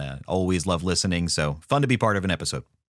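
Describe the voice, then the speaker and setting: This man talks at a very fast pace with a Philadelphia accent. His voice is very deep and low, with vocal fry. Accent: Philadelphia area. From Philadelphia area, US. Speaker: podcaster and former public radio voiceover producer. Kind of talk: casual podcast chat. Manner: conversational, playful.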